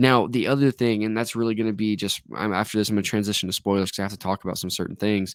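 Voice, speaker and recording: A man speaks at a very fast pace in a fairly low pitch. The sound is dry and close with no echo, and the recording is very clean with a silent background. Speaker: movie reviewer. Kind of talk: casual video review. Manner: animated, frustrated rant; halting, repeats words.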